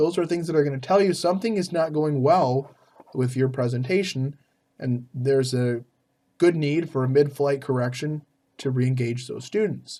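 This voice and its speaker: The voice is dark and mellow in tone. Its pitch varies in an ordinary way. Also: man. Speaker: EMS professor. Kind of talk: online lecture. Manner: fast; hesitant, many fillers.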